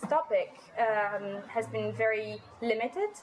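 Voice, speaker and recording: Over noticeable background noise, a woman with an Italian accent talks at a very slow pace in a fairly high voice. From Italy, Milan. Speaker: master's student. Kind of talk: interview. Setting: cafe.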